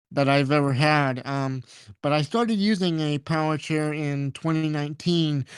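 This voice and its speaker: Fairly even intonation at a moderate pace, in a dry, close sound with no echo. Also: man, very clean recording, silent background. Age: 20s. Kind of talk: casual interview. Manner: halting, many repetitions and fillers.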